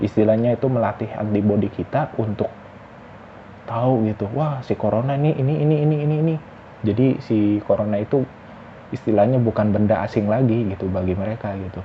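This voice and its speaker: Over noticeable background noise, a man talks at a fairly quick pace with a medium pitch and ordinary pitch variation. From West Java, Indonesia. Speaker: vlogger. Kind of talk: casual monologue vlog. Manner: halting, self-correcting.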